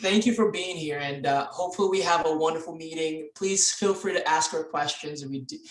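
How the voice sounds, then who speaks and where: A man talks at a fairly quick pace with hardly any pauses, his pitch fairly high and ordinary in variation. Noticeable background noise runs underneath. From Dominica. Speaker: club president. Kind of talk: meeting hosting.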